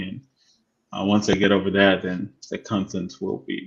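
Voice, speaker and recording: Against a quiet background, a man with a Spanish accent talks at a moderate pace, his pitch fairly low and his intonation flat and monotone. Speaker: real estate agent and live show co-host. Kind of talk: casual chat. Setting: live stream.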